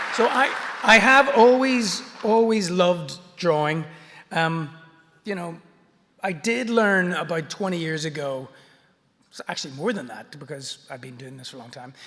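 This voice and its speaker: Speaking in a Belfast accent, a man with a high pitch and very wide pitch swings talks at a moderate pace, with long, frequent pauses. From Northern Ireland, Belfast. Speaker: artist and picture book author. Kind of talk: illustrated talk.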